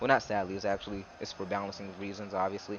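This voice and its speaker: A man talks at a very fast pace with noticeable background noise behind him. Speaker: gaming youtuber. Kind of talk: gameplay commentary. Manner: halting.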